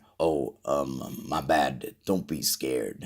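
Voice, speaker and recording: Speaking very slowly, a man uses a put-on character voice pitched very deep and low. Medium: read story. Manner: hesitant, stammering.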